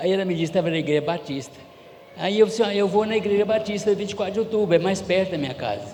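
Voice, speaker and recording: A high-pitched man's voice at a very fast pace over noticeable background noise. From Goiás, Brazil. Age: 70s. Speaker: church member giving testimony. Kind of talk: testimony.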